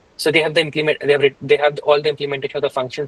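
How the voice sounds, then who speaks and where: Dry and close with no echo, a man's fairly high, somewhat breathy voice runs at a very fast pace in a monotone with flat intonation. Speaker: programming instructor. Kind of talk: live coding tutorial. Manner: halting, many fillers.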